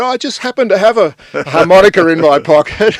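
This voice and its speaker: The recording sounds dry and close, with no echo at all. It features a man speaking in an Australian accent. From Sydney, Australia. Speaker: journalist and songwriter. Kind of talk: casual chat. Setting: radio studio.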